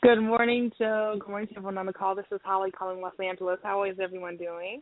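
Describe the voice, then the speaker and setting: The voice moves at a very fast pace. Its intonation is monotone and flat. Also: woman, medium pitch for a woman. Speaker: caller, business member. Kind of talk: casual call-in chat. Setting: phone call. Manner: hesitant, many ums.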